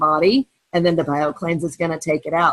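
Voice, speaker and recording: Speaking with an ordinary speaking voice, a woman uses a fairly low pitch and fairly even intonation at a moderate pace, in a dry, close sound with no echo. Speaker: direct sales team leader. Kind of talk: training webinar.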